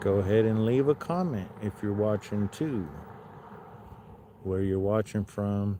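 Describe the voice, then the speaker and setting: Quiet and at a fairly slow pace, a man with an American accent speaks in a fairly low pitch with ordinary pitch variation and long, frequent pauses. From Southern California, Los Angeles. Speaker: livestreamer. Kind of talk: live stream chat. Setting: outdoors.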